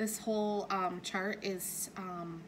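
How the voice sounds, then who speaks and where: With audible room echo, a woman speaks at a medium pitch in a monotone, flat intonation. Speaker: cross-stitch YouTuber. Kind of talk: casual craft vlog. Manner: hesitant, many fillers.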